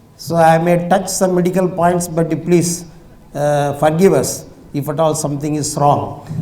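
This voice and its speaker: A man's fairly high voice, monotone and flat, at a moderate pace with audible room echo. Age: 70s. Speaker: retired scientist and industrialist, speaker. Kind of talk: public talk. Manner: halting, many fillers.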